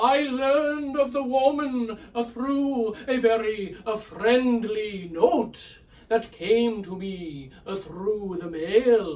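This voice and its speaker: This is a put-on character voice with lively intonation. It moves at a very slow pace yet has hardly any pauses. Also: man, extremely high pitch for a man. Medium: read story. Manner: halting, hesitant, full of pauses.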